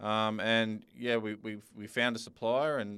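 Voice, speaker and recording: A man speaks in an Australian accent at a fairly low pitch. His intonation is fairly even. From Sydney, Australia. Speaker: football business founder. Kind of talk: casual chat.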